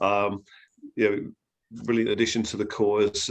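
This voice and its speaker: A man with a fairly low pitch and an English accent, set against a quiet background. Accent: English accent, noticeable. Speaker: therapy trainer. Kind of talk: interview. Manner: hesitant, many fillers.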